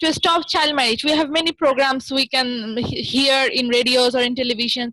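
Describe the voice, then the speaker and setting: A woman with a high pitch uses a raised, projected voice at very even loudness. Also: ordinary pitch variation, moderate pace. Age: 20s. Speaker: documentary filmmaker. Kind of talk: interview. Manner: halting, many fillers. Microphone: technical issues.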